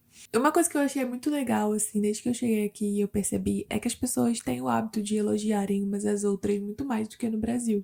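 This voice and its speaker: A woman rattles along at a very fast pace with hardly any pauses. Her fairly high voice has a dark, mellow tone and lively intonation. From Brazil, Curitiba. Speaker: immigrant vlogger. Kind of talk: casual vlog monologue. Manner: conversational, animated.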